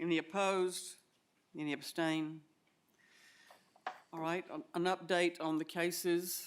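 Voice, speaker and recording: A woman with an Alabama accent, fairly low pitch, monotone, flat intonation, a fairly slow pace, and long, frequent pauses. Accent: US South (Alabama). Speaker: commission chair. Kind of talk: public meeting chairing. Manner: halting.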